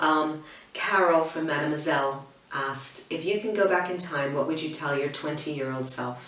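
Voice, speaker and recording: Woman with an American accent at a very deep, low pitch, with noticeable background noise and audible room echo. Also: ordinary pitch variation, moderate pace. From United States. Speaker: interior design blogger. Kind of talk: casual Q&A to camera. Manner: hesitant, many ums and restarts.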